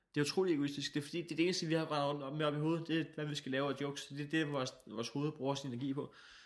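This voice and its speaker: Talking at a very fast pace with hardly any pauses, a man keeps a fairly high pitch and fairly even intonation. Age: 20s. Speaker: comedian and radio host. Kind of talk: casual chat.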